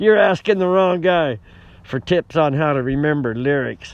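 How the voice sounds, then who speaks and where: Recorded dry with no echo, a man talks at a fairly slow pace in a fairly high voice. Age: 60s. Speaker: musician. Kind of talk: casual chat. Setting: outdoors. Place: open country. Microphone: phone near.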